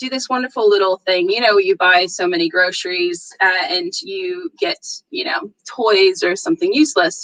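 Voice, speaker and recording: This woman's voice sits fairly high and swings very widely in pitch as she talks at a fairly slow pace. The sound is dry and close, with no echo. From northeastern US. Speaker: security conference speaker. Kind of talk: conference talk. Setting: virtual meetup. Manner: animated.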